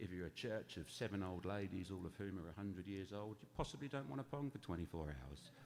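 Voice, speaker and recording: A man with an English accent speaks at a very fast pace with hardly any pauses. His fairly low pitch moves in a lively intonation. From England. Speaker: charity founder. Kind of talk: talk to church congregation. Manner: conversational.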